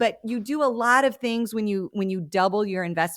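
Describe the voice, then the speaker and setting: In a very clean recording with a silent background and a dry, close sound with no echo, a woman with an American accent and a plain, everyday voice talks at a fairly quick pace with ordinary pitch variation. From Montana. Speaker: church leadership consultant. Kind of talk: podcast interview.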